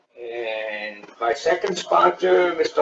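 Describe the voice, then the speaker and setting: A man with an American accent at a very slow pace, with music in the background. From United States. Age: 60s. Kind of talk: interview.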